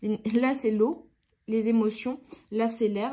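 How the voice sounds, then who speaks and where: A woman speaks in a dark, mellow tone at a fairly high pitch, with fairly even intonation. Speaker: tarot card reader. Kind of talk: tarot reading. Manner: hesitant with fillers.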